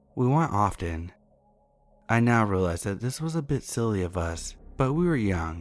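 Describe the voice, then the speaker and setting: Over music in the background, a man with a fairly low pitch speaks at a moderate pace with lively intonation. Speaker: horror story narrator. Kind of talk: reading aloud.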